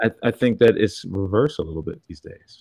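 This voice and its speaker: At a moderate pace, a man talks with ordinary pitch variation and a dark, mellow tone. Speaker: podcast host. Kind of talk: casual chat.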